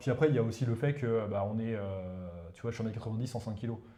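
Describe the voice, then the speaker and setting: Audible room echo surrounds a man talking at a very fast pace. His pitch varies in an ordinary way. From northern India, eastern Uttar Pradesh. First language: Hindi (speaking French). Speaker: professor of economic warfare. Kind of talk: casual interview chat. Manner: hesitant, many fillers.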